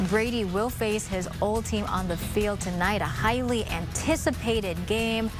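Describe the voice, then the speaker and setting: With music in the background, a woman talks at a fairly slow pace with lively intonation and hardly any pauses. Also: medium pitch for a woman. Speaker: TV news anchor and reporter. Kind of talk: TV news anchor read.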